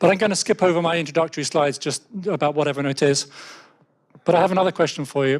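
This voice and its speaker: This man talks at a very fast pace with an English accent and a fairly high pitch. His speech has long, frequent pauses. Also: ordinary pitch variation. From England. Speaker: software developer. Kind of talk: conference talk. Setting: stage with audience. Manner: hesitant with fillers.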